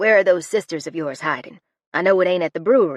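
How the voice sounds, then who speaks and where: In a put-on character voice, a woman growls at a very fast pace, raspy and fairly low in pitch with lively intonation. The sound is dry and close with no echo, over a quiet background. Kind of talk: audiobook character voice. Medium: read story. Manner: blunt, brassy.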